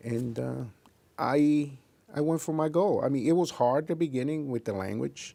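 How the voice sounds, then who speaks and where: A man with a dark, mellow tone, a fairly quick pace and ordinary pitch variation. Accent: Spanish. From Puerto Rico. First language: Spanish. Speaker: investigator and scoutmaster. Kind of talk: interview. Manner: halting.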